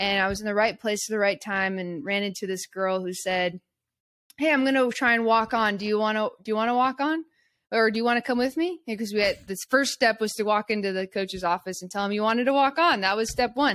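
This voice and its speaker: A woman with an American accent uses a normal speaking voice, ordinary pitch variation and a fairly quick pace on a very clean recording with a silent background. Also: fairly high pitch for a woman. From US West Coast (Eugene, Oregon). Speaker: basketball coach and podcast producer. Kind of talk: interview conversation.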